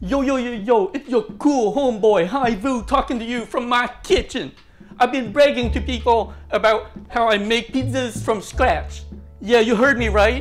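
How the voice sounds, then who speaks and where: Faint music sits in the background. A man talks over it fairly slowly. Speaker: home cook vlogger. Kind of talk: casual cooking tutorial. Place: kitchen. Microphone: lapel.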